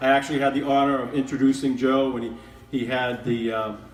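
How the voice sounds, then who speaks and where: A man speaks at a fairly quick pace, his pitch fairly high. Noticeable background noise and audible room echo surround him. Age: 60s. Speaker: show host. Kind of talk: live event hosting.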